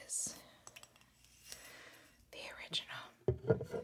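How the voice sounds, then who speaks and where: A woman is whispering. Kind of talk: ASMR soft-spoken ramble while tapping and scratching objects. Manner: quiet, casual, rambling.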